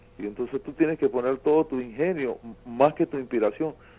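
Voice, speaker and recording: A man with a dark, mellow tone speaks fairly fast. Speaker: songwriter. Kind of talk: interview. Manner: halting.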